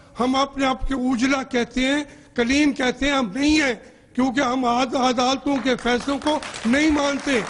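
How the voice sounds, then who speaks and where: With fairly even intonation, a man's voice sits at an extremely high pitch. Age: 60s. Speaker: politician. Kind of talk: heated debate. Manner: impassioned.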